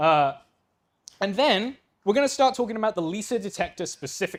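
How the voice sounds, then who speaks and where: Enthusiastic in tone, a man with a high pitch races along at a very fast pace with very wide pitch swings. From England. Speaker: astronomy PhD student, invited speaker. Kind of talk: public science talk. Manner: casual, enthusiastic.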